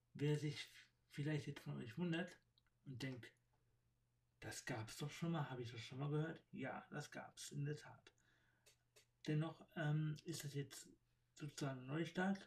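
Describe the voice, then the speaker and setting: With long, frequent pauses, a man talks fairly slowly in a somewhat breathy voice, his pitch varying in an ordinary way. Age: 30s. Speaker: podcaster. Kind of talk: personal monologue. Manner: halting, many fillers.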